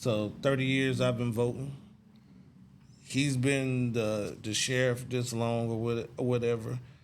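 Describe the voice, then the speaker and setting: A man with an American accent speaks at a fairly slow pace. The room echo is audible. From Texas, Dallas. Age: 40s. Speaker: talk show host. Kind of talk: interview.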